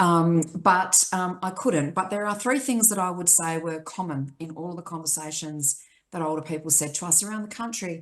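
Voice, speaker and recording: Speech in an Australian accent at a moderate pace, with hardly any pauses. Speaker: aged care advocacy chief executive. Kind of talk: panel discussion. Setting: video call from home.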